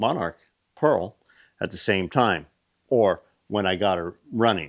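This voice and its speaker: Ordinary pitch variation at a fairly slow pace. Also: man. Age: 60s. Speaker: machinist and shop owner. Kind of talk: casual shop talk video. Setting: workshop. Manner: casual with fillers and hesitations.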